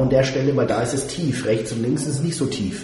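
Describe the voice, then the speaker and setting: Over noticeable background noise and audible room echo, a man talks at a fairly quick pace. His pitch variation is ordinary. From Würzburg, raised in the US ages 5 to 14. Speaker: radio host. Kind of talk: casual chat.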